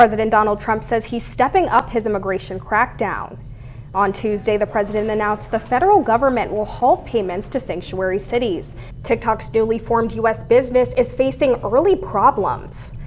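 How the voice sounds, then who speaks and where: Music plays in the background as a woman speaks at a fairly quick pace. Her pitch is fairly high. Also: ordinary pitch variation. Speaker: news reporter and anchor. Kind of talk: TV news anchoring.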